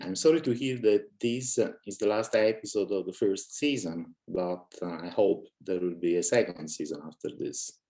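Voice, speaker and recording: A man with an Italian accent speaks in a dark, mellow tone with ordinary pitch variation. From Italy. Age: 60s. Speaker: author and cosmist, guest. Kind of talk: casual interview chat. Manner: hesitant, many fillers.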